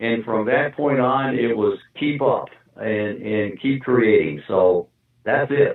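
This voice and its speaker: Speaking at a very slow pace, a man holds a medium pitch. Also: ordinary pitch variation. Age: 70s. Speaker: sculptor. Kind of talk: interview. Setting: phone call. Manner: halting.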